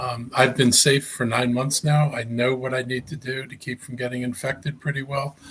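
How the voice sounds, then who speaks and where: Hardly any pauses break up a man's speech at a moderate pace. His pitch is medium and his intonation monotone and flat. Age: 70s. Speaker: county executive, politician. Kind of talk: interview. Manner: halting, many fillers and repetitions.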